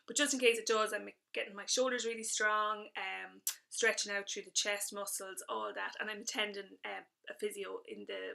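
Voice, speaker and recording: A woman with an Irish accent speaks with big swings in loudness. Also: moderate pace. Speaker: fitness instructor vlogger. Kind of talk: casual video update. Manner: hesitant with fillers.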